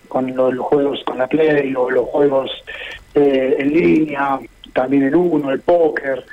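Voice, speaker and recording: With fairly even intonation, a man with a fairly high pitch speaks over noticeable background noise. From Buenos Aires, Argentina. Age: 50s. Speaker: truco association president. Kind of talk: radio interview. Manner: halting.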